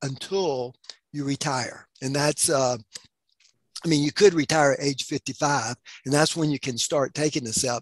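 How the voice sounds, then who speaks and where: In a dry, close recording with no echo, a man talks at a fairly high pitch. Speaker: financial seminar presenter. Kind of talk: seminar presentation. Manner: halting, many fillers and repeats.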